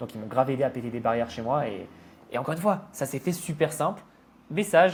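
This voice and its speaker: With lively intonation and a somewhat breathy, fairly high pitch, a man talks at a very fast pace broken by long, frequent pauses. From France. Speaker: online entrepreneur. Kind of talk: podcast interview.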